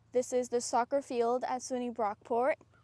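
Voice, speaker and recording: A woman's high-pitched voice with a dark, mellow tone, in a dry, close sound with no echo over a quiet background. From Nepal. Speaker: student leader. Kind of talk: vlog narration. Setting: office at student union; outdoors at soccer field.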